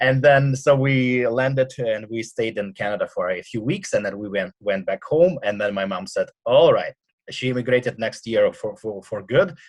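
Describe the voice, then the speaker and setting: Speaking at a moderate pace with hardly any pauses, a man talks in a Russian accent. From Russia, Siberia. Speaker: punk rock singer and radio host. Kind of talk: casual interview. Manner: halting.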